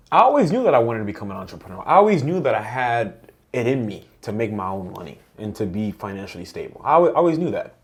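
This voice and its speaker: Speaking at a very fast pace with hardly any pauses, a man with a slight Dominican accent uses a medium pitch, very wide pitch swings and big swings in loudness. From Dominican Republic, then New York. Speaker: entrepreneur. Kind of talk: podcast interview.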